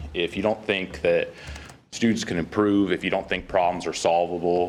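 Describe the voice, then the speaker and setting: A man's very deep, low voice in a flat monotone at a moderate pace, with music in the background. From Kansas. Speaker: college faculty member. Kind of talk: public comment at board meeting.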